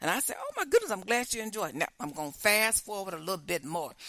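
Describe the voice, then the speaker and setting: Speaking at a very fast pace, a woman with a fairly high pitch delivers her words in a bright, sharp, animated tone. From Chicago. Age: 60s. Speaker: podcast host. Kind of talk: casual storytelling.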